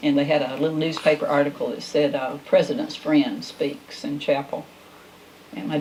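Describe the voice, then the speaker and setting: A woman with a Southern US accent and a very deep, low pitch speaks at a moderate pace with fairly even intonation over noticeable background noise. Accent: Southern US (Georgia). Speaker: talk show host. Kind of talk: casual chat.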